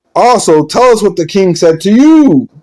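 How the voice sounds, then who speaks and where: A man's high, put-on character voice with lively intonation at a moderate pace. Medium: read story. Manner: anxious, secretive.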